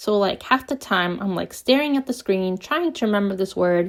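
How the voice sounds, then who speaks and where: Speaking with a non-native accent, a woman's voice sits at a medium pitch. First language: not English. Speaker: knitting vlogger and writer. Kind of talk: casual vlog. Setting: home basement.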